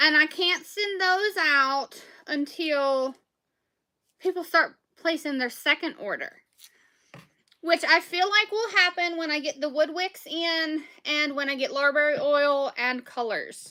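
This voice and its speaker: A woman with a strong Southern US accent speaks at a fairly slow pace in a raised, projected voice, her pitch high, her tone bright and sharp, and her pitch variation ordinary. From Southwest Virginia. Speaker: small business owner selling soaps and candles. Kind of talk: casual livestream chat while packing orders.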